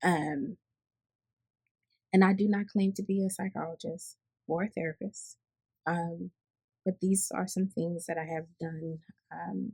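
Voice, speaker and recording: Fairly slow, somewhat breathy speech from a woman with an American accent, fairly low in pitch with a dark, mellow tone, ordinary pitch variation, long, frequent pauses, and a dry, close sound with no echo. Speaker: healthcare worker and vlogger. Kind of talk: unscripted personal talk with teaching. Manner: hesitant, many fillers and restarts.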